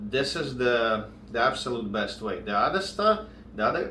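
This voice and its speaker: Amid noticeable background noise and audible room echo, a man with a strong non-native accent speaks at medium pitch and a moderate pace with ordinary pitch variation. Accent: strong foreign. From outside English-speaking countries. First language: not English. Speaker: contractor and business coach. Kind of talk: tutorial. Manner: halting, searching for words.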